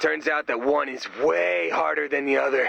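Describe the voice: Using a put-on character voice, a man speaks at a moderate pace with a fairly high pitch, a bright, sharp tone and vocal fry. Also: fairly even intonation.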